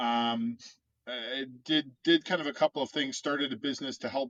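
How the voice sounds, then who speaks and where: In a dry, close sound with no echo, a man with a Midwestern American accent speaks at a moderate pace in a fairly high-pitched voice with a bright, sharp tone. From US Midwest (Chicago, Cincinnati, Michigan). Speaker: urban planner. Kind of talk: casual interview.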